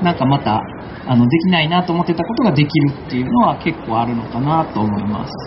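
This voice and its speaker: Over noticeable background noise, a man races along at a very fast pace with a fairly high pitch and very wide pitch swings. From Kansai, Japan (Akashi, Hyogo). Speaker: environmental aid worker and community activist. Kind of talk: panel talk at a live event.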